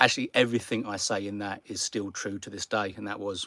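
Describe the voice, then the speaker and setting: With a British accent, a man talks at a very fast pace and fairly low pitch with ordinary pitch variation, his tone bright and sharp, the sound dry and close with no echo. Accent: noticeable British accent, easy to follow. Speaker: car camping YouTuber. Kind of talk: live stream Q&A. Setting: sitting in garage. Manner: casual, some repetitions and hesitations.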